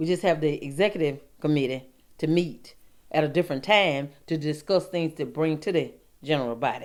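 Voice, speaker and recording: A woman talks at a fairly quick pace in an Alabama accent. Her pitch is very deep and low. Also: ordinary pitch variation. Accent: US South, Alabama. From Alabama, Lee County. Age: 60s. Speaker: interviewee in oral history project. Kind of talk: oral history interview. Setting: at her home. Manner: halting, repeats words.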